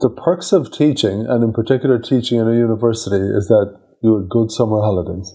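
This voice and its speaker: A man with an Irish accent talks at a very fast pace. His tone is dark and mellow, with medium pitch and ordinary pitch variation. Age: 50s. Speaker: podcast host. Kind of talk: interview.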